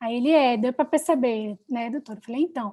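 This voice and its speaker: A woman talks at a fairly quick pace in a high voice with ordinary pitch variation, on a very clean recording with a silent background. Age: young. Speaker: public defender. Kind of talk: panel talk, storytelling.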